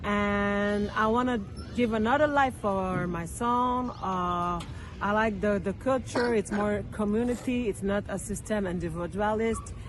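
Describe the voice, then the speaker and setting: In a French accent, a woman at a medium pitch talks fairly slowly with fairly even intonation amid audible room echo. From France. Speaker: local resident interviewee. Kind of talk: street interview. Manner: halting.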